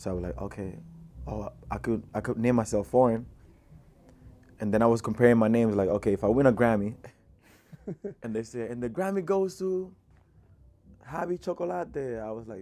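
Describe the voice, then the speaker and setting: A man with a Dominican accent speaks at a fairly quick pace in a dark, mellow tone, with very wide pitch swings. His loudness swings widely, and he leaves long, frequent pauses. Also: medium pitch for a man. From Dominican Republic. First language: Spanish. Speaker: rapper. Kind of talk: interview. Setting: studio. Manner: casual, many fillers.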